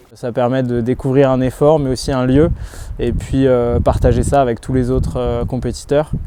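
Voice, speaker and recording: Noticeable background noise fills the recording. Under it, a man's speech moves at a moderate pace. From Brittany, France. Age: 20s. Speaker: athlete. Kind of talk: interview. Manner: hesitant.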